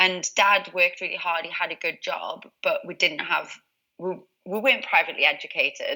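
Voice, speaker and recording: With a Geordie accent, a woman talks at a moderate pace in a bright, sharp tone. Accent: Geordie (Newcastle). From northern England, Newcastle. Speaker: positive psychologist and success coach. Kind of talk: interview.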